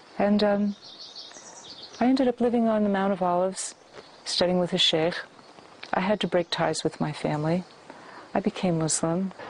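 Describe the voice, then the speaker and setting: A woman with an American accent speaks at a moderate pace and very even loudness, pausing long and often, with noticeable background noise. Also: medium pitch for a woman, ordinary pitch variation. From US West Coast, San Francisco. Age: 60s. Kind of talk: testimony.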